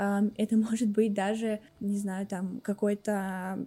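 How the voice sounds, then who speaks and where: This woman's voice has a dark, mellow tone at a medium pitch, with monotone, flat intonation. The recording is very clean, with a silent background. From Russia, Tambov region village. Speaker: marketing special projects manager. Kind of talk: casual chat.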